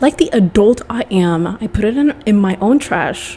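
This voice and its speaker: A woman with a fairly high pitch sounds animated against noticeable background noise. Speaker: podcast host. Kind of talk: casual monologue.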